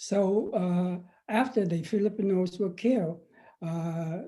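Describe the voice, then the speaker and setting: The recording is very clean, with a silent background. A man speaks in a dark, mellow tone at a high pitch with fairly even intonation. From Vietnam. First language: Vietnamese. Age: 70s. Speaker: professor and former activist. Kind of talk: interview. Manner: halting, many fillers and repeats.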